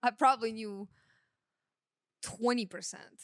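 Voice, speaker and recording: A woman with a Russian accent speaks at a fairly slow pace in a fairly high pitch. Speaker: sound engineer. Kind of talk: casual chat.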